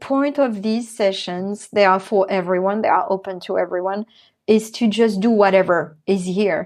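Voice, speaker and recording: With a French accent, a woman speaks with ordinary pitch variation against a quiet background. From France. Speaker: artist and mindfulness educator. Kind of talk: interview chat.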